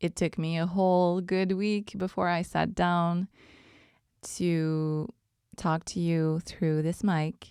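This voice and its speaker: A woman with a Quebec accent speaks at a very slow pace and a fairly low pitch. The recording is very clean with a silent background. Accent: French-Canadian accent in English. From Quebec, Montreal. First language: French. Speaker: podcast host. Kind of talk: casual monologue. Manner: relaxed, hesitant with many ums.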